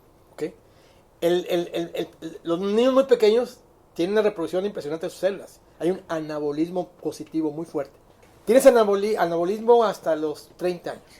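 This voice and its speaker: At a fairly quick pace, a man with a high, dark and mellow voice talks with ordinary pitch variation and big swings in loudness. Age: 70s. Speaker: psychiatrist and industrial consultant. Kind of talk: casual chat. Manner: halting, with many repetitions.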